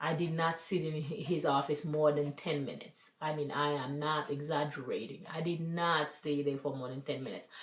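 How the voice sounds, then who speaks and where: This woman's pitch is very deep and low, and she sounds somewhat breathy. Her intonation stays fairly even at a moderate pace with hardly any pauses. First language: French. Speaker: vlogger. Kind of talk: personal vlog.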